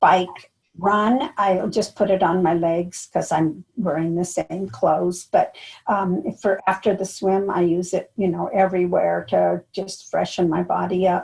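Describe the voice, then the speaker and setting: At a fairly slow pace, a woman speaks somewhat breathily in a medium pitch with ordinary pitch variation. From US. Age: 70s. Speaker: triathlete. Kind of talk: interview. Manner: halting.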